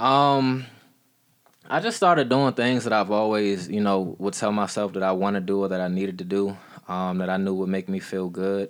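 A man with an unremarkable speaking voice talks at a moderate pace in a fairly low pitch. His pitch varies in an ordinary way, and the recording is very clean with a silent background. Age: 20s. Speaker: podcast guest sharing recovery story. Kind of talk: casual chat.

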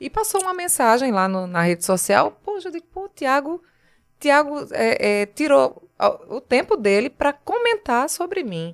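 A woman with a Pernambuco accent speaks high for a woman, with very wide pitch swings and big swings in loudness. Her fairly slow delivery has a dry, close sound with no echo. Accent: northeastern Brazilian (Pernambuco). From Pernambuco Agreste, Brazil. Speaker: TV journalist. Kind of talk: casual chat.

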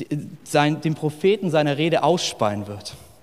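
A man with a slight northern Hessian accent talks at a fairly high pitch. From northern Hesse, Germany. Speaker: pastor. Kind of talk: sermon. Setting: church service with live audience. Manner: casual, animated.

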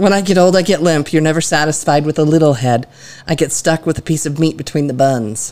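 Over noticeable background noise, a woman with a very deep, low pitch talks at a fairly quick pace with ordinary pitch variation. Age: 40s. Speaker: podcast guest, a co-host's mother. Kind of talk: casual chat.

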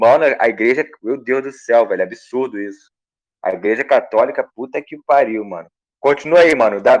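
A man's moderately paced speech, full of big swings in loudness. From Rio de Janeiro, Brazil. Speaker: youtuber and car salesman. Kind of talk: casual chat.

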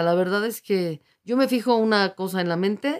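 The woman's voice sits at a medium pitch with ordinary variation. She speaks at a fairly slow pace. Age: 50s. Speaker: open water swimmer, university staff. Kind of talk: radio interview. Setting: radio studio.

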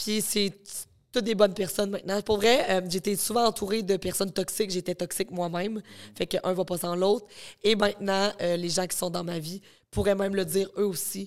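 A woman with a Quebec accent talks at a fairly quick pace in a medium pitch. The recording is very clean, with a silent background. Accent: Québécois French. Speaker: content creator and psychologist. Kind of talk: casual interview chat. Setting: studio.

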